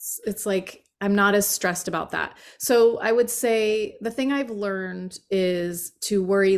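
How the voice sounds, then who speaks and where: In a normal speaking voice, a woman with an American accent talks at a fairly slow pace, her medium pitch and fairly even intonation captured in a very clean recording with a silent background. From eastern Pennsylvania (Allentown). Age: 50s. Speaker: yoga podcast host and former magazine editor. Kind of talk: casual chat.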